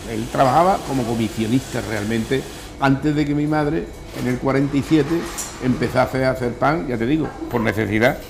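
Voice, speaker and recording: A man speaks at a fairly quick pace with ordinary pitch variation. Noticeable background noise and audible room echo are present. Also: medium pitch for a man. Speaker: local interviewee. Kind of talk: interview.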